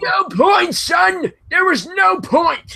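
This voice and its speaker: A man shouts in a put-on character voice at an extremely high pitch. His pace is very slow. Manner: grumpy, gloomy.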